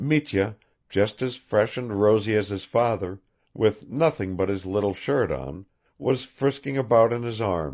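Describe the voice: Pitch moves in an ordinary way through this plain reading aloud. Behind it, the background stays quiet.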